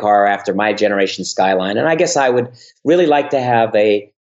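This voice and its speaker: The man talks at a fairly quick pace with a fairly low pitch. He has a slight New York accent. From US Northeast (Bronx, New York; New Jersey). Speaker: YouTuber and realtor. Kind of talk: interview.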